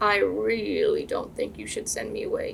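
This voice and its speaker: Clear background noise runs under the recording. A woman speaks in a put-on character voice. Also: moderate pace. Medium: read story. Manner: slurping, sulky.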